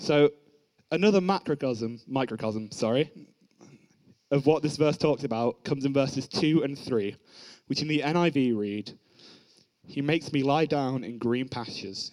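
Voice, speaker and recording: Long, frequent pauses break up this man's moderate pace. His pitch is fairly high, with ordinary variation. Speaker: young preacher at youth service. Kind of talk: sermon. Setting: church.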